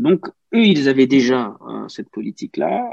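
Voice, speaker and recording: The sound is dry and close with no echo as a man talks fairly slowly. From Cameroon. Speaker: journalist. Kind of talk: interview conversation. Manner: halting, many repetitions.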